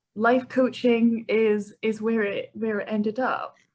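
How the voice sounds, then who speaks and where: A woman in a Scottish accent. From Scotland, Edinburgh. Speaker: life coach. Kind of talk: podcast interview.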